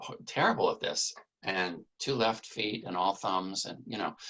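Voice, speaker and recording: A man's bright, sharp tone at a fairly slow pace. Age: 60s. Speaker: cartographer. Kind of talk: casual interview.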